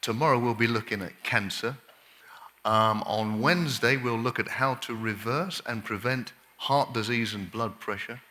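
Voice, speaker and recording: A man talks at a medium pitch and a moderate pace with an English accent. His tone is bright and sharp, and his pitch varies in an ordinary way. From England. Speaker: doctor, lifestyle medicine speaker. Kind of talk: health workshop lecture. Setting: camp meeting audience.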